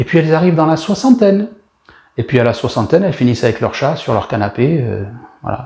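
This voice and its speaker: A man's somewhat breathy, dark, mellow tone at a very fast pace, with very wide pitch swings and long, frequent pauses. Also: fairly high pitch for a man. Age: 60s. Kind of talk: sermon. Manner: animated.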